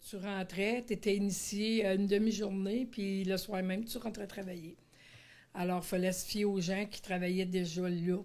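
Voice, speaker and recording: A woman at a medium pitch, fairly slow in pace, with monotone, flat intonation and big swings in loudness. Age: 60s. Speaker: retired special educator. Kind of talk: testimony. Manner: halting, many hesitations.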